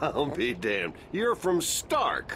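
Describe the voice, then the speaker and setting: A man's gruff, put-on character voice over clear background noise. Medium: video game. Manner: gruff, swearing.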